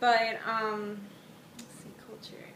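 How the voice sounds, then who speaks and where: A woman with a medium-pitched voice is heard amid noticeable background noise, with audible room echo. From Puerto Rico. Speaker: interviewee. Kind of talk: casual self-introduction.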